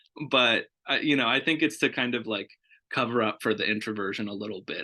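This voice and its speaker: Against a quiet background, a man speaks loudly at a medium pitch with a bright, sharp tone. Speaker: foster care program director. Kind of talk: interview.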